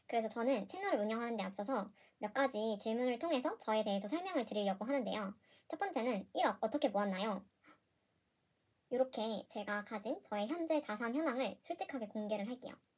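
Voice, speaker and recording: Somewhat breathy, fairly quick speech with lively intonation. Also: woman, fairly high pitch for a woman. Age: 20s. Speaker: personal finance youtuber, office worker. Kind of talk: casual vlog monologue. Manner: hesitant, with fillers and self-corrections.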